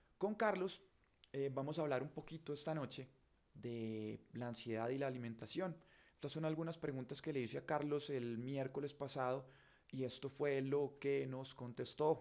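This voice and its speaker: A man speaks at a fairly high pitch and a moderate pace. His pitch variation is ordinary. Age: 40s. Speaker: journalist and show host; journalist, show host. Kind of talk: live stream monologue. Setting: home studio. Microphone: studio mic.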